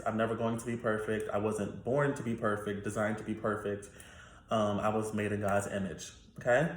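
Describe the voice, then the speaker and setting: Somewhat breathy and fairly low in pitch, a man speaks at a moderate pace with audible room echo. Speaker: YouTuber. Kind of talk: casual Q&A monologue.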